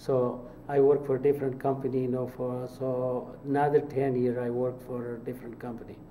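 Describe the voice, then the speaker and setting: In a room with audible echo, a man speaks at a moderate pace in a medium pitch with monotone, flat intonation. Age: 70s. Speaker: mosque fundraising director. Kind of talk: interview. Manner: halting, many fillers.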